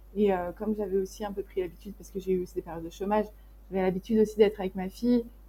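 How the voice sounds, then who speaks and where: With an unremarkable speaking voice, a woman speaks at a medium pitch with fairly even intonation. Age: 20s. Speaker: graphic designer running an agency. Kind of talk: casual interview chat.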